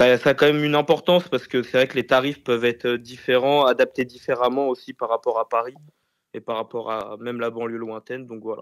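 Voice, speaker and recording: With a plain, everyday voice, a man talks fairly quickly at a medium pitch, his intonation fairly even and his loudness swinging widely. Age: 20s. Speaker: private hire driver. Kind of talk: casual interview.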